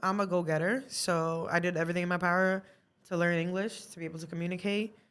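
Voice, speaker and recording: At a moderate pace, a woman with a fairly low pitch speaks in an animated tone. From Brazil, moved to Massachusetts (Brockton) around age seven. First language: Portuguese. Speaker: artist. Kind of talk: casual podcast interview. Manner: talkative, animated.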